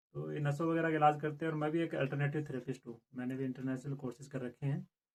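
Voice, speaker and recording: Monotone, flat delivery from a man with a fairly high voice. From Rajasthan, India. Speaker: alternative therapist. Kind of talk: interview. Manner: halting.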